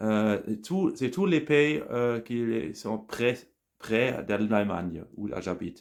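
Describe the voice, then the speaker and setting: A man with a German accent speaks at a very slow pace and medium pitch, with lively intonation. The recording is very clean, with a silent background. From Germany, Bonn area. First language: German (speaking French). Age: 40s. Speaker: language learner, scientific employee. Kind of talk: casual monologue practising a foreign language. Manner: halting, many hesitations.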